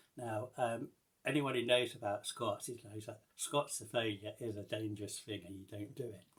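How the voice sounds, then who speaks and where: A man speaks somewhat breathily at medium pitch. His pace is fairly slow and his intonation fairly even. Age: 60s. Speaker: vlogger. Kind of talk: casual vlog update. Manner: halting, many fillers and restarts.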